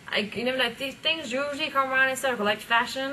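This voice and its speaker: A woman with an American accent talks at a very fast pace, with noticeable background noise and audible room echo. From UK. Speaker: rapper. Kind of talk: casual interview. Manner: halting, many fillers.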